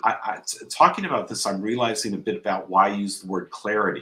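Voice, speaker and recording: A man with a Californian accent talks with ordinary pitch variation. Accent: General American (Californian). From US West Coast (San Diego, Southern California). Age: 60s. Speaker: entrepreneur, founder of a life-coaching network. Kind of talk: interview conversation. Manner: repeats words, some false starts.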